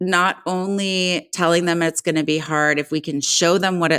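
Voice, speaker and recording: The delivery is fairly slow, with fairly even intonation, in an unremarkable speaking voice. The sound is dry and close, with no echo. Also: woman. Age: 40s. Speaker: podcast co-host. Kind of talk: casual chat.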